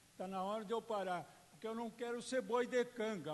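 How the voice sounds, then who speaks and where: The man's voice is extremely high-pitched. He talks at a moderate pace. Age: 70s. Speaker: public hearing speaker. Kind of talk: public hearing speech. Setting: public hearing with audience.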